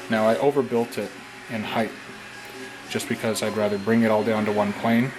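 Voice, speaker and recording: With music in the background, a man talks at a fairly quick pace, medium pitch and fairly even intonation. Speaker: prop maker. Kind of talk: tutorial. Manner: casual, hesitant with fillers; quiet while concentrating.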